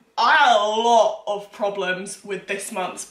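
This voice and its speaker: Fairly slow speech from a woman amid audible room echo. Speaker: baking vlogger. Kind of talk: casual vlog chat. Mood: exasperated, amused storytelling. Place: kitchen. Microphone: camera far.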